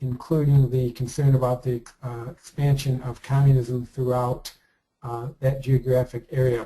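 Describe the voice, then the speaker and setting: At a moderate pace, a man speaks in a somewhat breathy, dark, mellow tone at a medium pitch. His intonation stays monotone and flat. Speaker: committee member in online politics game. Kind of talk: policy presentation in committee meeting. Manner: halting, many fillers.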